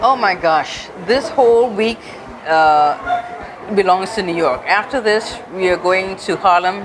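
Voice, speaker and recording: Audible room echo and noticeable background noise surround a woman speaking at a fairly slow pace. Her medium-pitched voice has lively intonation. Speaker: author. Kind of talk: casual chat.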